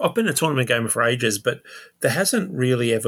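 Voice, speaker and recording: A man speaks with an Australian accent. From Sydney, Australia. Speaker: tabletop wargamer. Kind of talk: casual chat.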